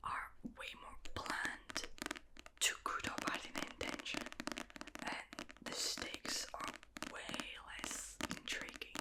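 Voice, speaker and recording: Whispering at a very slow pace, a woman leaves long, frequent pauses over noticeable background noise. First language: not English. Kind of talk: ASMR book review, casual chat to camera. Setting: home recording with a Blue Yeti mic. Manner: whispered, soft, close to the mic.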